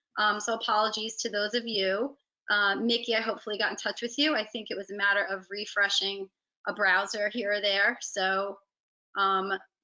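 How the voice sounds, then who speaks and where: In a New Jersey accent, a woman talks at a moderate pace and medium pitch with monotone, flat intonation. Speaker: digital marketing agency head. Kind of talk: webinar presentation.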